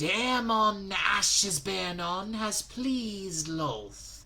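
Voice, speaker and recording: A put-on character voice at a middle pitch and very slow pace, with light background noise. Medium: read story. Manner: mocking, insidious.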